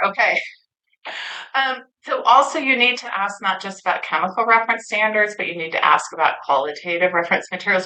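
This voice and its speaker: At a fairly quick pace, a woman talks in a bright, sharp tone. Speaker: industry speaker at a conference. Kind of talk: conference presentation. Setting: stage with audience. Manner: animated.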